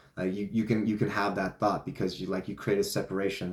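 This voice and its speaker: With a non-native accent, a man speaks at a fairly low pitch and with fairly even intonation. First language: not English. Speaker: vlogger / self-help talker. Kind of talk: casual monologue. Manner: casual, filler-heavy (like, you know).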